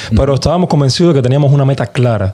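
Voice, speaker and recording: Medium-pitched male voice over noticeable background noise. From Cuba. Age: young. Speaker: musician. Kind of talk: casual chat.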